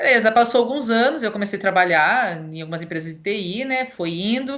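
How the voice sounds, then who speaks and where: A woman with a Paulista interior accent speaks at a fairly quick pace and fairly high pitch. Her intonation is lively, and her loudness swings widely. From interior of São Paulo state, Brazil. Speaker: cloud solution architect. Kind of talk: casual interview chat.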